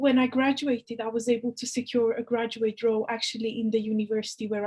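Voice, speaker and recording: A somewhat breathy woman with a Romanian accent talks at a fairly quick pace and a fairly high pitch. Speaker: university employability officer. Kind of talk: interview. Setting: video call.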